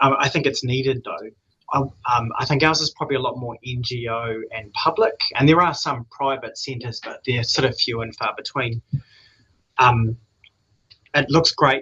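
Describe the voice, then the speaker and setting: Speaking at a moderate pace with long, frequent pauses, a man in a New Zealand accent has a medium pitch, a bright, sharp tone and ordinary pitch variation. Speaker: addiction trainee clinician. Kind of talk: question in seminar.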